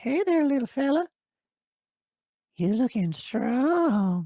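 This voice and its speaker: The speaker uses a put-on character voice at a very slow pace. The pitch is fairly high, with very wide swings. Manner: creepy, friendly.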